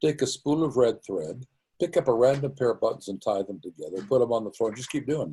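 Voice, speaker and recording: A man's dark, mellow voice at medium pitch, with vocal fry and very wide pitch swings, moves at a fairly quick pace. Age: 80s+. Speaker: origin of life researcher. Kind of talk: interview answer.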